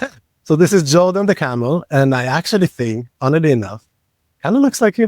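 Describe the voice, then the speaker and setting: Here a man with an Israeli accent speaks at a fairly quick pace and a fairly high pitch. His pitch swings very widely, and the sound is dry and close with no echo. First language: Hebrew. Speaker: podcast co-host. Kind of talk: casual chat.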